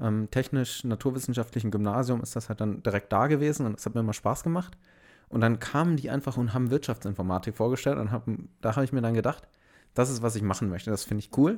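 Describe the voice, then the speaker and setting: A man's medium-pitched voice at a very fast pace with ordinary pitch variation, in a very clean recording with a silent background. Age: 20s. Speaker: podcast host, business informatics graduate. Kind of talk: casual chat. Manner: unscripted, spontaneous.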